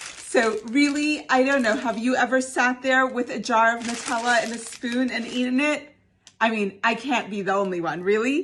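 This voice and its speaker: A woman's high, animated voice with lively intonation amid noticeable background noise. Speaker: home cooking video host. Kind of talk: cooking tutorial; casual vlog chat. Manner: whispering.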